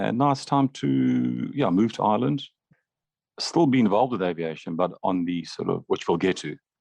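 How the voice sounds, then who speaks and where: A man speaks at a moderate pace in a very deep, low pitch. His pitch swings very widely, and the sound is dry and close with no echo. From Zambia. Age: 50s. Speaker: retired airline pilot and cafe owner. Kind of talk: interview.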